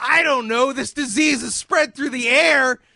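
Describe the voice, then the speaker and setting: Shouting in an angry tone, a man's bright, sharp voice comes through dry and close, with no echo. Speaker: comedy podcast host. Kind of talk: comedy podcast rant. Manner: screaming, angry.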